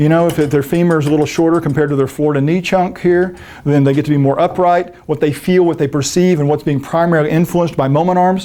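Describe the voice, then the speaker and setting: A man talks very fast in a fairly high voice with a dark, mellow tone. His loudness stays very even and his intonation fairly even. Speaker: fitness instructor. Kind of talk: lecture.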